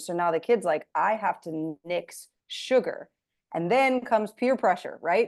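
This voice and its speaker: With an ordinary speaking voice, a woman talks at a moderate pace and a fairly high pitch. Her intonation is lively against a quiet background. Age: 30s. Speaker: podcast host and weight loss coach. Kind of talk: casual interview chat.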